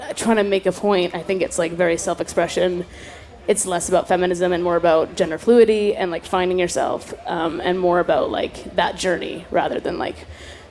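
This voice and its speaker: Noticeable background noise sits under a woman who talks at a fairly quick pace in a monotone, flat delivery. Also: medium pitch for a woman. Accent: Canadian. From Canada, Toronto. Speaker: singer. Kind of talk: casual interview. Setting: festival stage.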